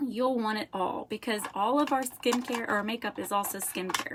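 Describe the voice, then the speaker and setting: A woman with a slight Southern accent talks at a fairly slow pace in a fairly high pitch, her intonation fairly even on a very clean recording with a silent background. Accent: slight southern drawl. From Florida. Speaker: makeup seller. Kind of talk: product demonstration. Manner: chatty.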